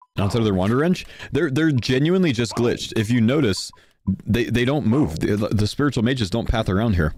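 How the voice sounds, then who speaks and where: In an unremarkable speaking voice, a man with an American accent talks at a fairly quick pace and medium pitch, with lively intonation and very even loudness. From Texas, Houston. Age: 30s. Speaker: video game streamer. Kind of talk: live gaming stream chat. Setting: live stream with group voice chat.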